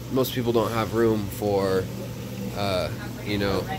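A man speaking fairly slowly over noticeable background noise. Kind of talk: casual vlog commentary. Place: shop. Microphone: phone near.

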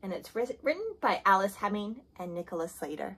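A woman talks at a fairly quick pace with a medium pitch and lively intonation. Her fairly bright tone has a slightly husky edge.

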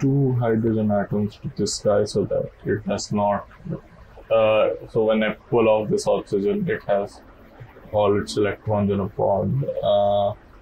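Light background noise sits under a man mumbling at a fairly slow pace. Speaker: game player. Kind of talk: casual gameplay commentary. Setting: low-quality home mic. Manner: mumbling, hesitant.

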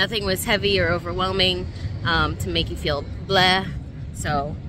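A woman's voice, dry with no echo, with music in the background. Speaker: food vlogger. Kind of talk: casual vlog chat. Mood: relaxed, a bit hot. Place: street. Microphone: phone near.

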